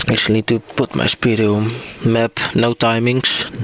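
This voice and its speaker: With a Dutch accent, a man at medium pitch speaks fairly slowly in a flat monotone at very even loudness, his sound dry and close with no echo amid noticeable background noise. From Netherlands. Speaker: esports race commentator. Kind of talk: live commentary.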